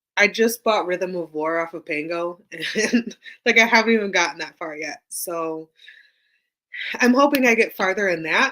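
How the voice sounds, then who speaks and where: A raspy, put-on character voice shouts at a moderate pace with big swings in loudness, in a very clean recording with a silent background. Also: woman, medium pitch for a woman. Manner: loud, feels like yelling.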